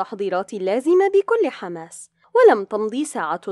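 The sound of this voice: An unforced reading voice over a quiet background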